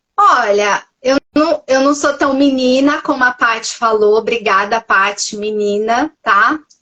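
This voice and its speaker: A woman's high-pitched voice at a fairly slow pace. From Minas Gerais, Brazil. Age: 40s. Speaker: nutritionist. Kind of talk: testimony. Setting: Instagram live podcast.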